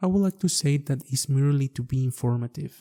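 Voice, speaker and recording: A man with a Mexican accent, fairly high in pitch, at a moderate pace with ordinary pitch variation, the sound dry and close with no echo. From Mexico. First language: Spanish. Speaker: architect and podcast host. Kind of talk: podcast monologue.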